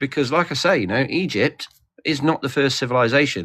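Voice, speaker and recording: Speaking at a fairly quick pace, a man talks in a British accent. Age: 40s. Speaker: livestream participant. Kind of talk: casual discussion. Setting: livestream group call.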